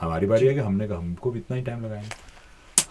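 A man at a fairly slow pace, with light background noise. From India. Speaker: voice-over artist and former TV news anchor. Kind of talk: interview answer. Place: studio. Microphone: studio mic.

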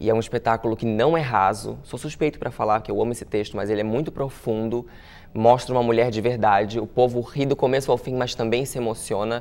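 A man at medium pitch, very fast in pace, with fairly even intonation. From Santa Catarina coast (Itajaí), Brazil; Santa Catarina, Brazil. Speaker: actor and comedian; actor, comedian. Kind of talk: interview. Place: studio.

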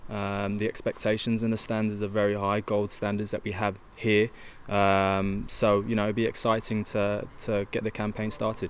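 Over light background noise, a man speaks in a fairly low, monotone voice with flat intonation. His pace is moderate and the sound is dry with no echo. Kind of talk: interview answer. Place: stadium. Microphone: handheld.

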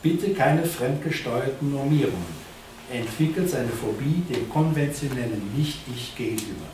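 With noticeable background noise and audible room echo, a man speaks at a moderate pace, his pitch fairly high for a man and his intonation lively. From Germany, Cologne; Germany. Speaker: art teacher and philosophy lecturer; art teacher, philosophy lecturer. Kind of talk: lecture. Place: meeting room. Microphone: camera far.

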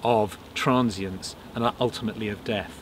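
Over light background noise, a man's voice comes through dry, with no echo. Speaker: storyteller interviewee. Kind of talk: interview answer. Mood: reflective, thoughtful. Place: open country.

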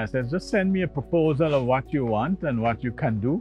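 Faint music plays behind a man speaking at a moderate pace with ordinary pitch variation. The sound is dry, with no echo. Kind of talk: interview answer. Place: farm machine. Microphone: lapel.

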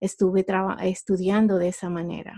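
A woman's dark, mellow voice in a Honduran accent, flat and monotone, over a quiet background. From Honduras. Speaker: entrepreneur. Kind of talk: interview. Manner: halting.

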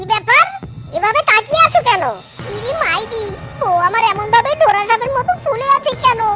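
Over faint music in the background, a cartoonish character voice moves at a fairly quick pace with a bright, sharp tone. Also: lively intonation.

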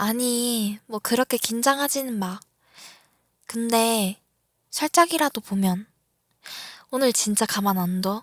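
Speaking at a very slow pace with long, frequent pauses, a woman uses a fairly high pitch and ordinary pitch variation in a dry, close sound with no echo. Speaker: ASMR creator. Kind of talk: ASMR roleplay, girlfriend teasing her younger boyfriend in a whisper. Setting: roleplay for a listener, close-mic. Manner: whispery, close-mic, breathy, teasing and playful, with soft laughs; slow, intimate pacing, flustered and pleading toward the end.

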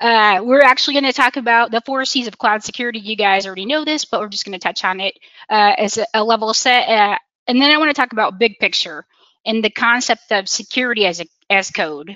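A woman talks at a very fast pace. The sound is dry with no echo, over a quiet background. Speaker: presenter. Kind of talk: conference presentation. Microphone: video call.

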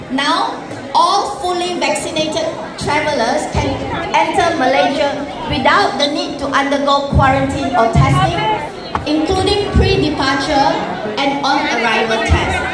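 With clear music in the background, a woman's voice carries audible room echo. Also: ordinary pitch variation, fairly slow pace. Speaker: speaker. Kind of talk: formal speech. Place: hall. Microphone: pa.

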